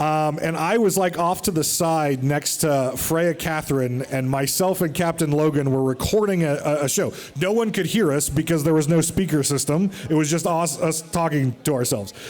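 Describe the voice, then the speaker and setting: With an American accent and a fairly high pitch, a man talks in an animated tone with hardly any pauses and ordinary pitch variation. His loudness stays very even over noticeable background noise. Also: moderate pace. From United States. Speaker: podcast host. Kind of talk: live show on stage. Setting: stage with audience.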